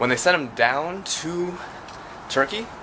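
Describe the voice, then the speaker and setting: Against noticeable background noise, a man talks with an American accent. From United States. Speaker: travel vlogger. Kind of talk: casual vlog narration. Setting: outdoors, walking in city streets. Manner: casual, filler-heavy.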